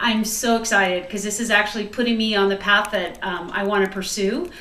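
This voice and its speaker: A woman speaks at a medium pitch. Audible room echo and noticeable background noise surround her voice. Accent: American. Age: 40s. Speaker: home cook and retiring police officer. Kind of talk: cooking video. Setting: home kitchen. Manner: chatty.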